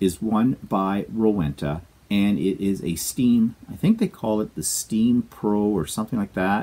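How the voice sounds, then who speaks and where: A dark, mellow male voice, fairly low in pitch, with a Canadian accent. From Canada. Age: 60s. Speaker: quilting vlogger. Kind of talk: casual vlog monologue. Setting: home studio. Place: home room. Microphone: lapel.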